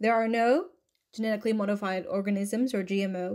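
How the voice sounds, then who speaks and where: In a plain, everyday voice, a woman speaks at medium pitch and a moderate pace on a very clean recording with a silent background. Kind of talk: infomercial read.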